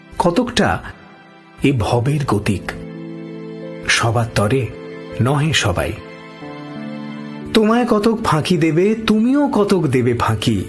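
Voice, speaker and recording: A man speaks with very wide pitch swings and very even loudness. Music plays in the background. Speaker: radio jockey. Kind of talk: poetry reading. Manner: calm, intimate, restrained.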